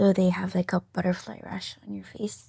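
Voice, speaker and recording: The speaker has a Micronesian accent. The tone is dark and mellow, somewhat breathy. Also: woman, very clean recording, silent background. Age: 20s. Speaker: patient. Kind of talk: interview. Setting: studio. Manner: soft-spoken; hesitant.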